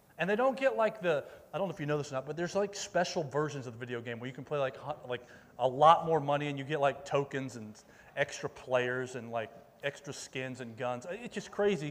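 This man talks fairly quickly in a fairly high voice, his loudness swinging widely. He has an unremarkable speaking voice. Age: 40s. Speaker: youth pastor. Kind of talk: sermon. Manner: casual, conversational with many fillers.

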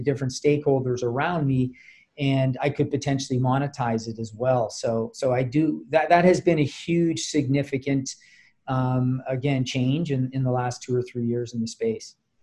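The man's voice sits fairly high in pitch, with a dark, mellow tone, a somewhat breathy quality, and fairly even intonation. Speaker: startup founder and CEO. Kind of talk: podcast interview.

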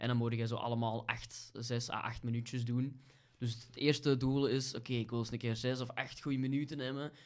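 A man with a Kempen accent talks at a medium pitch in a monotone, flat intonation. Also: fairly quick pace. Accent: Flemish (Kempen). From Belgium, Kempen (Vosselaar). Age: 30s. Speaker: stand-up comedian. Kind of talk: casual chat.

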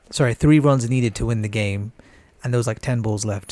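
On a very clean recording with a silent background, a man speaks at medium pitch with a dry, close sound and no echo. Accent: British. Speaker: podcast co-host. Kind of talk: casual chat.

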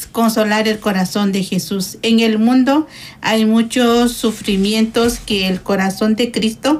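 At a fairly slow pace, a woman with a fairly high, somewhat breathy voice speaks with ordinary pitch variation. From Guatemala. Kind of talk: radio interview.

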